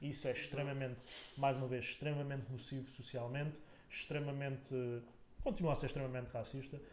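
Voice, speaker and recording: A somewhat breathy man at a fairly high pitch and a fairly quick pace, flat and monotone, with audible room echo. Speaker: political podcaster. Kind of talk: casual political discussion. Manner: halting, many repetitions.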